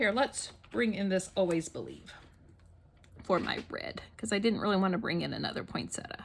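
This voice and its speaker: At a moderate pace, a woman with an American accent talks at a medium pitch. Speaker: scrapbooking YouTuber. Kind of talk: craft tutorial with casual chat. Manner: casual, thinking aloud.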